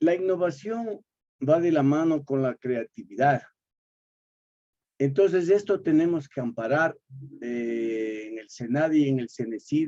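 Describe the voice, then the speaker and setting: Delivered at a fairly slow pace with long, frequent pauses, the voice has a dark, mellow tone, lively intonation and big swings in loudness. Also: man, fairly high pitch for a man. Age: 70s. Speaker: poet, course participant. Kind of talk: class discussion. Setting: video call.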